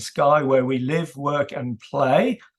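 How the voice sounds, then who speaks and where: A man speaks with a British accent. His pitch is fairly high. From UK. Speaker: author and data governance consultant. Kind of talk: presentation. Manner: hesitant with fillers.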